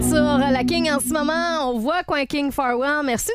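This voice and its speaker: Over music in the background, a woman's high-pitched voice moves with lively intonation. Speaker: morning radio host. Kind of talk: casual radio banter. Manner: animated.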